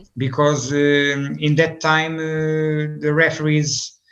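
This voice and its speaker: This man speaks with a Portuguese accent. His pace is very slow. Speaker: football coach. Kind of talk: interview. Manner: halting, many fillers.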